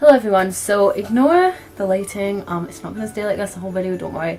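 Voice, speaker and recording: With music in the background, a woman talks at medium pitch with ordinary pitch variation. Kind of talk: casual vlog talk to camera.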